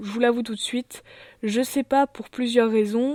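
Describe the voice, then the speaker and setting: A woman with a fairly high pitch speaks with fairly even intonation and a dark, mellow tone. The sound is dry and close with no echo, and the recording is very clean with a silent background. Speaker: YouTuber. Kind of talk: channel presentation vlog. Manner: hesitant, many fillers.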